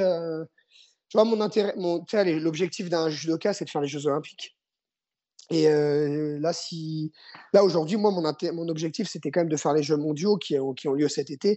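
At a moderate pace, a man with a high pitch and ordinary pitch variation speaks with long, frequent pauses. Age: 30s. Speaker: judo and jujitsu coach, former athlete. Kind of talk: interview. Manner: halting.

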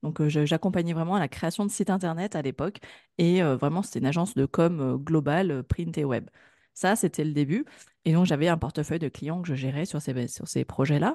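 In a dry, close sound with no echo, a woman speaks with a fairly low pitch and a dark, mellow tone. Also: quiet background. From France, Grenoble. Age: 30s. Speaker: digital marketing consultant. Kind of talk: interview.

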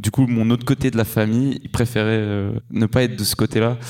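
Amid noticeable background noise, a man speaks at a medium pitch with monotone, flat intonation. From Switzerland. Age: 20s. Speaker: traveller. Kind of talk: live interview. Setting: stage with audience.

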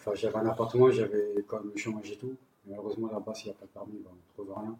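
This man speaks in a fairly low pitch. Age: 30s. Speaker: homeless person sharing his story. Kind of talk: personal testimony.

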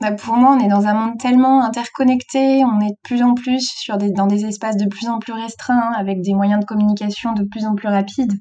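A woman's fairly high voice, fairly quick and monotone, flat in intonation, with hardly any pauses. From France, Brittany (south Finistère). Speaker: author and youth trainer. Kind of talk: interview. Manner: hesitant, many fillers.

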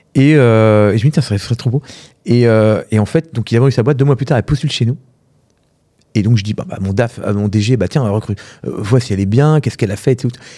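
The recording is very clean with a silent background. A man speaks at a fairly quick pace in a dark, mellow tone at medium pitch, with ordinary pitch variation. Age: 40s. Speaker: entrepreneur, platform founder. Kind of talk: casual interview.

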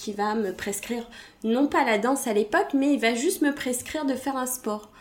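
Her pitch shows ordinary variation. The woman keeps to a moderate pace. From Belgium. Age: 30s. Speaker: hip-hop dancer and speaker. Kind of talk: interview. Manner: hesitant, many fillers.

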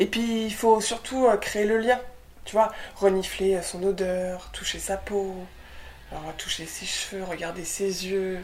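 Over noticeable background noise and audible room echo, a woman talks at a medium pitch and a very slow pace, her intonation fairly even, her loudness swinging widely, with long, frequent pauses. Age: 20s. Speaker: young mother and documentary producer. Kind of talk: casual interview chat.

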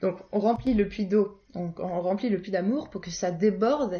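A woman speaks at medium pitch with ordinary pitch variation. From Paris region, France. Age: 20s. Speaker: naturopath and wellness coach. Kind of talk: interview conversation. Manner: hesitant, many filler sounds.

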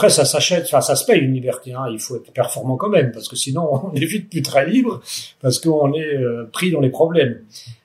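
A man's fairly quick, lively speech with big swings in loudness over noticeable background noise. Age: 60s. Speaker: company director. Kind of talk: interview. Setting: on company site. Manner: hesitant, many fillers.

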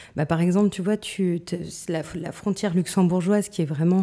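Her voice has a dark, mellow tone, and this woman speaks at a fairly low pitch with fairly even intonation. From Moselle-Est, France. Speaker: real estate company director. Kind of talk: interview.

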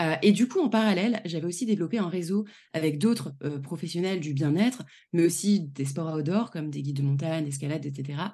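A woman speaks at a fairly quick pace, somewhat breathy. Her voice is fairly low in pitch with a dark, mellow tone. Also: lively intonation, quiet background. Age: 30s. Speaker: travel planner and trainer. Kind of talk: casual interview chat.

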